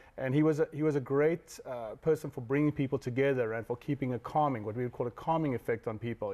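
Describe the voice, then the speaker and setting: Dark and mellow in tone, this man speaks at a very fast pace. His intonation stays fairly even. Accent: South African. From South Africa. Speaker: dog training director. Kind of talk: TV news interview answer.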